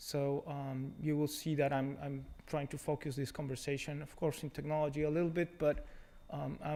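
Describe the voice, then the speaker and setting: This man has a Mexican accent and a fairly high pitch, speaking at a moderate pace in a monotone, flat intonation. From Mexico. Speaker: technology executive. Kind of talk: conference talk. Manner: hesitant, many fillers.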